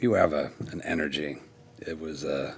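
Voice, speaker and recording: A man's put-on character voice, raspy and very deep in pitch, at a moderate pace. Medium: actual play. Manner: casual, smug.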